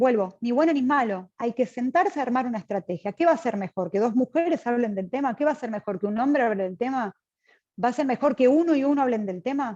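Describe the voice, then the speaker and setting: In a dry, close recording with no echo, a woman speaks very fast at a high pitch, with lively intonation and a dark, mellow tone. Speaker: seminar speaker. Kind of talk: lecture.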